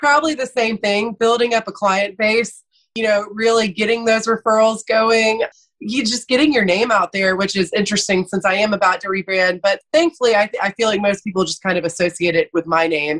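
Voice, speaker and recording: A woman with a Georgia accent talks at a fairly quick pace, her pitch fairly high with ordinary variation. The sound is dry and close, with no echo. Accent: Southern American (Georgia). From US South, Athens, Georgia. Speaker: lawyer. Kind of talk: interview.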